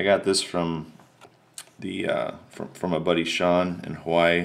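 A man speaks with a very deep, low pitch. His delivery is very slow and flat, with monotone intonation. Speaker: autograph collector vlogger. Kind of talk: casual video recap. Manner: hesitant, many fillers. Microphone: phone near.

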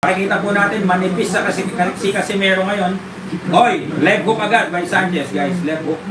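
Against noticeable background noise, a man speaks fairly quickly in a high voice. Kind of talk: live sports commentary. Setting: watching a live boxing match. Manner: excited, shouting and animated, calling each punch in real time; fast, punchy, choppy delivery with interjections and filler.

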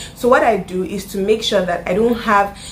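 A woman speaks with a Nigerian accent. Light background noise can be heard. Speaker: YouTuber; vlogger. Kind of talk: casual vlog tutorial. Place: home room.

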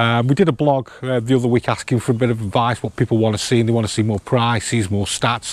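A man at a very fast pace, fairly even in intonation, with a dry sound and no echo. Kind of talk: casual vlog presentation. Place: street.

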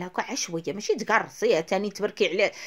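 A woman speaks at a fairly quick pace. Her pitch is medium. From Morocco. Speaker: cooking video host. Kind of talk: cooking tutorial. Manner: fast, chatty. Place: kitchen. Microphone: phone near.

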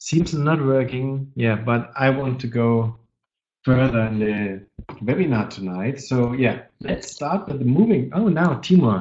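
A man's medium-pitched, slightly mellow voice at a fairly slow pace, with ordinary pitch variation

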